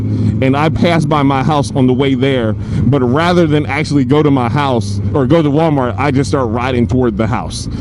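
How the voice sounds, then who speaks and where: Amid noticeable background noise, a man with an American accent talks at medium pitch with ordinary pitch variation. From New Jersey, US East Coast. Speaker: motorcycle vlogger, company founder. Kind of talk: casual vlog monologue. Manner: halting, repeats words.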